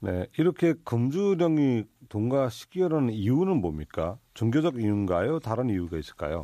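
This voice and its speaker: With a dark, mellow tone and very wide pitch swings, a man talks at a moderate pace in a dry, close recording with no echo. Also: medium pitch for a man. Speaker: radio host. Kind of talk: radio show hosting and interviews. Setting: studio.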